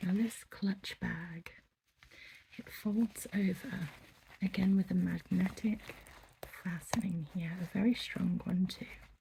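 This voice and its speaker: The voice is soft-spoken, with a gentle tone and a very slow pace. Long pauses come often. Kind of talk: ASMR shop roleplay, soft-spoken shopkeeper. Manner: soft-spoken, gentle, polite.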